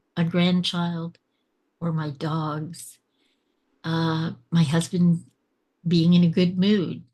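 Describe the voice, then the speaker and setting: Somewhat breathy, a woman with a fairly low pitch speaks at a very slow pace. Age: 60s. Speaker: podcast guest. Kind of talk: casual interview. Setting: video call.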